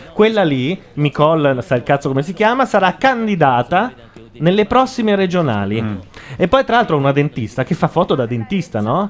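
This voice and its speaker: Through noticeable background noise, a man with a high pitch talks at a moderate pace, his voice making very wide pitch swings. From southern Italy, Lecce (Apulia). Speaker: web radio host. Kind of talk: casual chat. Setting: studio.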